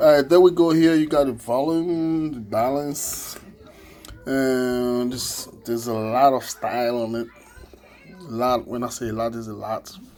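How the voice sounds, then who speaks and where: Against noticeable background noise, a man speaks at a medium pitch and a fairly slow pace. His pitch variation is ordinary, and his loudness swings widely. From Ivory Coast. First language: French. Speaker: musician demonstrating a keyboard. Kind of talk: product demo tutorial. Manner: halting, many fillers.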